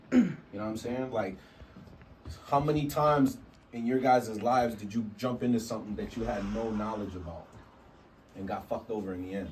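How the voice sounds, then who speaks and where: A man's animated, fairly quick delivery with ordinary pitch variation, long, frequent pauses, big swings in loudness, audible room echo, and noticeable background noise. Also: medium pitch for a man. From Canada, Vancouver. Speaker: hip hop teacher, rapper. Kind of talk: workshop class talk.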